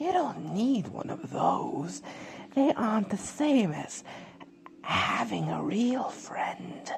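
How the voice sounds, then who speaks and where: A put-on character voice whispers at a very slow pace. Background noise is clearly audible. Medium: read story. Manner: stammering, coaxing.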